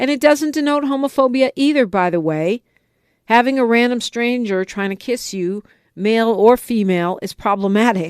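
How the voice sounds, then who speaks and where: With an American accent, a woman speaks in a normal speaking voice, fairly high in pitch, at a moderate pace with ordinary pitch variation, the sound dry and close with no echo. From United States, California. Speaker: radio talk show host. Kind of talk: talk radio call-in show commentary. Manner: opinionated, conversational.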